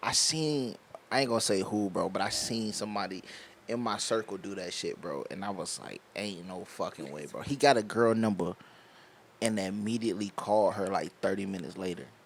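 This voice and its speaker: With an American accent, a man speaks at a moderate pace in a fairly low pitch and lively intonation, an unremarkable speaking voice. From Virginia. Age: 20s. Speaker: podcast host. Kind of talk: casual chat.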